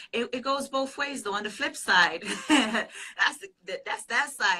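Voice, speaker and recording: In a Jamaican accent, a woman with a high pitch and a bright, sharp tone speaks at a very slow pace, her intonation lively and her loudness swinging widely. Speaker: pastor and business consultant. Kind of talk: interview answer.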